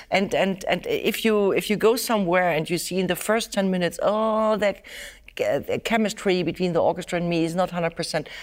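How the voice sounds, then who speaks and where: A woman talks at a fairly quick pace in an ordinary speaking voice, medium in pitch and very even in loudness, on a very clean recording with a silent background. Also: fairly even intonation. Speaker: violinist and teacher. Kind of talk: interview, conversational.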